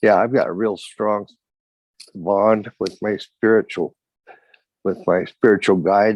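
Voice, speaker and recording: With long, frequent pauses, a man speaks in a monotone, flat way, and the sound is dry and close with no echo. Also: fairly low pitch for a man, fairly slow pace. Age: 70s. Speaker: meeting attendee sharing. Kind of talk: recovery meeting share. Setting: video call. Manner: halting.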